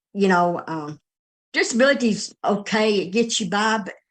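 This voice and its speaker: Against a quiet background, a woman speaks at a medium pitch and moderate pace with ordinary pitch variation. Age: 60s. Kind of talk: interview testimony. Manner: halting, repeats words.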